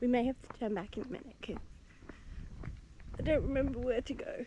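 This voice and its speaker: Quiet and fairly quick, a woman speaks at a high pitch in a dark, mellow tone. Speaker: travel vlogger. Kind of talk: casual vlog monologue. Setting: outdoors.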